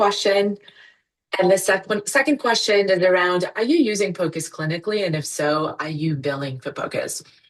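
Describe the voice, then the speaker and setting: With lively intonation, a woman speaks in a plain, everyday voice at a medium pitch and moderate pace. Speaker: physician and ultrasound educator, company founder. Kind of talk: webinar presentation. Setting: online webinar.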